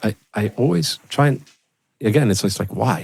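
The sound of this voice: This man's voice has vocal fry, a slightly husky edge, a slightly mellow tone and ordinary pitch variation.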